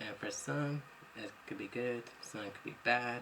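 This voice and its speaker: Noticeable background noise sits behind a man talking at a fairly slow pace. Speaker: vlogger. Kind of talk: personal testimony vlog. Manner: rambling, unedited talk with fillers.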